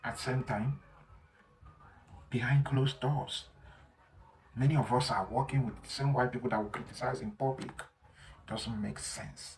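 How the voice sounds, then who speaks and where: The speech has long, frequent pauses and ordinary pitch variation. Noticeable background noise is present. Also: man, medium pitch for a man, moderate pace, big swings in loudness. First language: not English. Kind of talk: opinion monologue.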